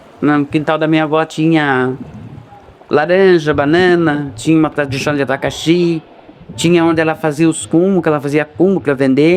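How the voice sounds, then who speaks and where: A man's fairly high voice at a moderate pace, with fairly even intonation and noticeable background noise. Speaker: local resident interviewee. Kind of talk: documentary interview testimony.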